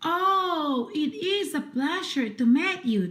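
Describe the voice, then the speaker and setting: In a put-on character voice, a woman speaks high-pitched and fairly slowly. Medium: read story. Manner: courteous.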